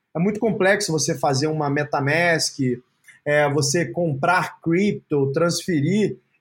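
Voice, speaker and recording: With a plain, everyday voice, a man talks at a fairly slow pace, his pitch fairly high and his intonation fairly even. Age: 30s. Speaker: entrepreneur. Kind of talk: interview.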